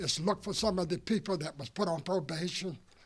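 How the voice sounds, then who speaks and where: With an American accent, the speech moves at a moderate pace. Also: man. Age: 80s+. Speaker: civil rights veteran, former student protester. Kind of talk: informal remarks at ceremony. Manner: halting, many fillers.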